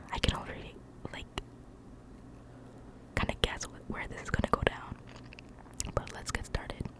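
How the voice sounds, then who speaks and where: A woman whispers with long, frequent pauses and big swings in loudness. Noticeable background noise sits behind her. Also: moderate pace. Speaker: ASMR creator. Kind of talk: casual talk to camera, ramble between stories. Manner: whispered, soft-spoken.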